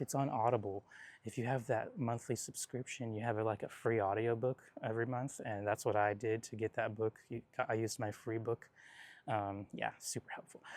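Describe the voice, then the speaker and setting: The man's pitch is medium, with an American accent. The sound is dry and close, with no echo. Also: fairly even intonation, moderate pace. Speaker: gardening vlogger. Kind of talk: casual garden tutorial. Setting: outdoors in garden. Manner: rambling, hesitant fillers.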